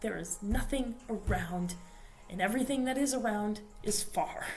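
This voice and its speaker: A woman can be heard talking while noticeable background noise fills the recording. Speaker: vlogger. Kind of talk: casual monologue. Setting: library study room. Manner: quieter; loud.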